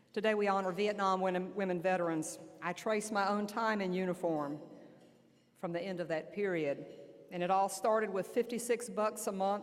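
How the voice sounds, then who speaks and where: Fairly even intonation and a moderate pace, in an Alabama accent. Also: woman, medium pitch for a woman. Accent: Southern US (Alabama). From US South, southern Alabama. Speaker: army general. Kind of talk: keynote speech. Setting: luncheon banquet with audience. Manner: loud.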